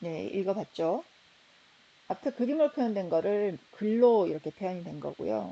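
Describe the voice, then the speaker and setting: Her tone is dark and mellow, at a medium pitch for a woman. She speaks at a moderate pace with lively intonation. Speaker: architecture professor. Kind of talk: lecture. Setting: recorded slide lecture video.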